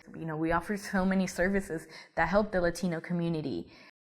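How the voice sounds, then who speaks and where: This woman's voice sits at a fairly low pitch. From Colombia, raised in US from age seven. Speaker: university alumna, nonprofit worker. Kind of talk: personal testimony, interview.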